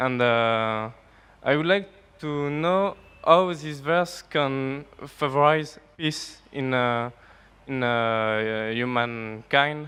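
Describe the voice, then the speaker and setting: A man's medium-pitched voice at a very slow pace. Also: ordinary pitch variation. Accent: French. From France. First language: French. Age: young. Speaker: audience member asking a question. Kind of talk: audience question. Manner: halting, many hesitations.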